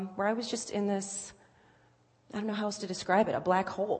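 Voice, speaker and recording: The speaker is a woman with an American accent. Her voice is somewhat breathy. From Virginia Beach, Virginia. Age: 20s. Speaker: church member sharing testimony. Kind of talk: testimony. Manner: halting, many fillers.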